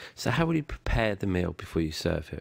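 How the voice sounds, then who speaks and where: With a British accent, a man speaks at a fairly quick pace in a very deep, low pitch, showing vocal fry and very wide pitch swings. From Britain. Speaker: online course instructor. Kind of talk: tutorial.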